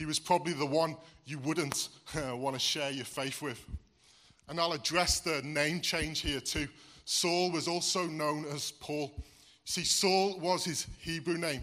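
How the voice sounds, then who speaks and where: With a slight Welsh accent, a man talks at a fairly slow pace and a fairly high pitch. His tone is bright and sharp, his intonation fairly even. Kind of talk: sermon.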